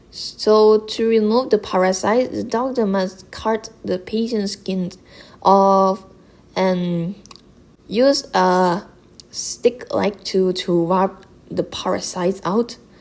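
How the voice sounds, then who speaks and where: A woman with a non-native accent talks at a very slow pace. Her medium-pitched voice keeps a fairly even intonation. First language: not English. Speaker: gaming content creator. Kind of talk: explainer video narration.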